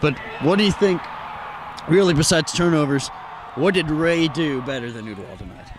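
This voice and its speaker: Over noticeable background noise, a man with a fairly high pitch and lively intonation talks at a fairly quick pace, broken by long, frequent pauses. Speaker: sports reporter. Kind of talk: post-game sports wrap-up. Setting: outdoors.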